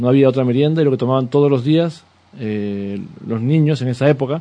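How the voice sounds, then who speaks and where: Man at a medium pitch and a fairly quick pace. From Peru. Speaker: artisan bakery owner. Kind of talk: radio interview. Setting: radio studio. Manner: halting, many repetitions and fillers.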